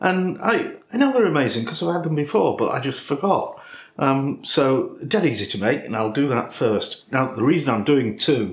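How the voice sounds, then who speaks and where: The speaker talks at a moderate pace, somewhat breathy. Audible echo from the room surrounds the voice. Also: man. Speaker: cooking channel host. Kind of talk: casual vlog chat. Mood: jovial, chatty. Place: kitchen.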